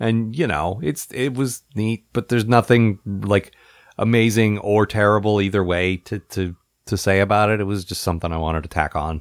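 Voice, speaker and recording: Here is a man with an ordinary speaking voice and an American accent, pitched fairly low with ordinary pitch variation. The sound is dry and close, with no echo. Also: moderate pace, very clean recording, silent background. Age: 40s. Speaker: podcast host. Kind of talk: casual chat.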